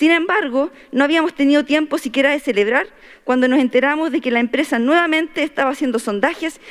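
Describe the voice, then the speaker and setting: A woman with a Chilean accent talks at a fairly quick clip in a high voice, her pitch moving in an ordinary way. The background is quiet. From Chile, Atacama region (Huasco Valley); Atacama, Chile. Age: 30s. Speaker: constitutional convention delegate. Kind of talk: formal speech. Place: hall. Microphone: podium.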